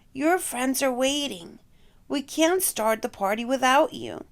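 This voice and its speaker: A woman puts on a raspy character voice pitched high. She delivers it at a fairly slow pace. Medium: read story.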